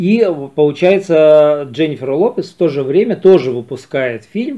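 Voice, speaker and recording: A man at a fairly slow pace. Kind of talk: film review commentary. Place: home room. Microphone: phone near.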